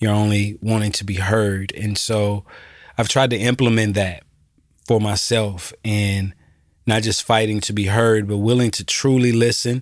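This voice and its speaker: A man with an American accent talks at a fairly slow pace in a fairly low, monotone voice, in a very clean recording with a silent background. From US South, Georgia. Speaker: community nonprofit director. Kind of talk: casual interview.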